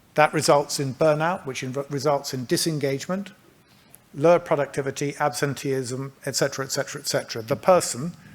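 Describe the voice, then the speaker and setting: Speaking with a British accent, this man has a fairly high pitch. His intonation stays fairly even. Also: fairly quick pace. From England. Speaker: healthcare company manager. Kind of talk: conference presentation. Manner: halting.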